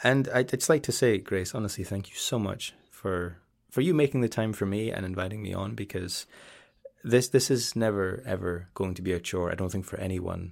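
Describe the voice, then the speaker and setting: At a moderate pace, a man speaks in a fairly low voice with ordinary pitch variation, in a very clean recording with a silent background. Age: 30s. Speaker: ASMR YouTuber. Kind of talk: casual interview chat. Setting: studio. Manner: halting, many restarts.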